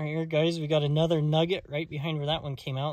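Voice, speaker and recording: A somewhat breathy man against a quiet background. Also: dry sound with no echo. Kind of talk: casual vlog commentary. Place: open country. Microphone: phone near.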